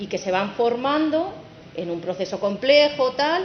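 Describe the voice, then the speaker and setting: Over noticeable background noise and audible room echo, a woman speaks with very wide pitch swings. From Castilla-La Mancha, Spain. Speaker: wood science researcher, company director. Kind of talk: technical conference talk.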